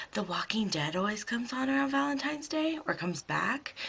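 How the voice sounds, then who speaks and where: Noticeable background noise under very wide swings in pitch. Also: woman. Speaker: beauty vlogger. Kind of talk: makeup tutorial. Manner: casual, hesitant with many ums.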